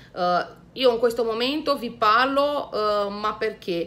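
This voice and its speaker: A woman with a Romanian accent talks at a moderate pace, her bright, sharp tone carrying ordinary pitch variation. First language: Romanian (speaking Italian). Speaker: YouTuber. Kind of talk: vlog talk to camera. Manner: hesitant, many fillers. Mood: enthusiastic, friendly. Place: home room. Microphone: phone near.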